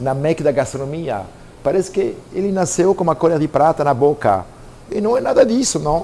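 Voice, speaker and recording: In a French accent, a man with a fairly high pitch speaks at a moderate pace with lively intonation. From France, Normandy. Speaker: pastry chef. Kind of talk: personal story to camera. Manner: casual, conversational.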